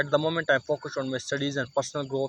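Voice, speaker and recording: Fairly high-pitched male speech in a monotone, flat delivery, over noticeable background noise. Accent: Pakistani. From Pakistan, Mansehra. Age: 20s. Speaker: English learner vlogger. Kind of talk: casual vlog monologue. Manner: halting, many fillers and restarts.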